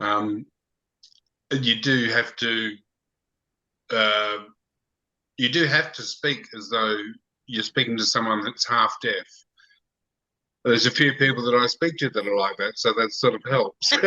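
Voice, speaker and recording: A man with an Australian accent speaks at a fairly slow pace in a medium pitch, his bright, sharp tone carrying ordinary pitch variation and long, frequent pauses. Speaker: clogging club leader. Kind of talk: casual chat.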